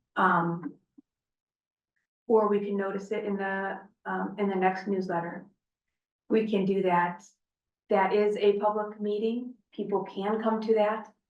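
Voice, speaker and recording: A woman's medium-pitched voice, flat and monotone, at a fairly slow pace with long, frequent pauses and audible room echo. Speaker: water district board director. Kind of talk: board meeting discussion.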